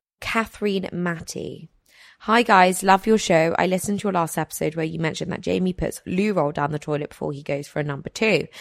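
Fairly low in pitch, a woman talks at a fairly quick pace with ordinary pitch variation. Hers is a normal speaking voice. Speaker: podcast host. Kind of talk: casual chat.

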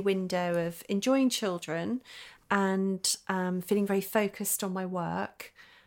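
A woman's medium-pitched voice, monotone and flat in intonation, in a very clean recording with a silent background. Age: 40s. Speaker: photographer and author. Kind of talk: interview.

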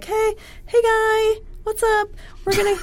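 Squeaky and extremely high, this put-on character voice moves at a moderate pace in a flat monotone. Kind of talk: casual buddy-like greeting. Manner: silly, friendly.

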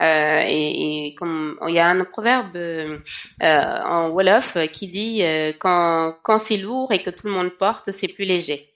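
Heard in a very clean recording with a silent background, a woman with a fairly low pitch speaks very slowly with ordinary pitch variation. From Senegal. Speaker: cosmetics entrepreneur. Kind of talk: podcast interview.

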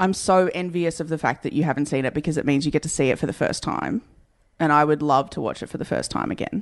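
A woman with an Australian accent, very deep, low pitch, ordinary pitch variation and very fast pace against a quiet background. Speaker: podcast co-host. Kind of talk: casual comedy chat.

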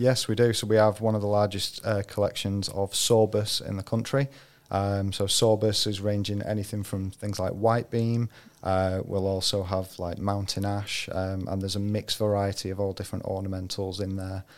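Delivery comes at a moderate pace. The intonation stays monotone and flat. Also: man, fairly low pitch for a man. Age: 30s. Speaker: arboriculture trainer. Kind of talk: casual chat. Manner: hesitant, many fillers.

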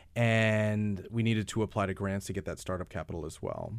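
In a very clean recording with a silent background, a man with an American accent and a plain, everyday voice talks at a fairly quick pace, with a fairly low pitch and fairly even intonation. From New York. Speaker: nonprofit founder. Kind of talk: interview. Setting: studio.

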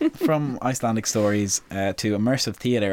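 A man's fairly low voice with an Irish accent and ordinary pitch variation, dry and close with no echo, on a very clean recording with a silent background. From Ireland. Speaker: podcast host. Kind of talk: casual chat.

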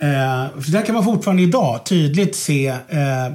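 The voice is somewhat breathy and swings very widely in pitch. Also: man. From Stockholm, Södermalm. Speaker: history podcast host. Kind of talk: casual chat.

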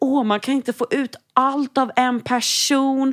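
A woman's voice sits high in pitch. She talks at a moderate pace. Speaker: podcast co-host. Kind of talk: casual chat. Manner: loud.

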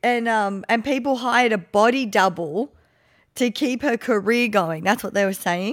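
A fairly high-pitched woman's voice at a fairly slow pace, with lively intonation, in a very clean recording with a silent background. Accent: Australian. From Gold Coast, Australia. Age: 30s. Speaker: podcast host. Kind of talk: casual chat.

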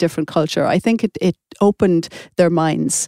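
A woman with an Irish accent, fairly low-pitched, with a dark, mellow tone and a dry, close sound with no echo. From Ireland. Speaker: author. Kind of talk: casual chat.

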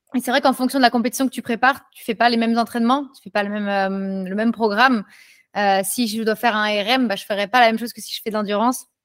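A woman speaks at a very fast clip. Her intonation stays fairly even. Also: fairly high pitch for a woman, big swings in loudness, dry, close sound with no echo. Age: 20s. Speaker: street workout athlete. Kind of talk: casual chat.

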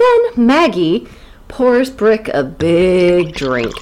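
A woman with an American accent speaks with very wide pitch swings over noticeable background noise. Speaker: podcast host. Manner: joking, animated.

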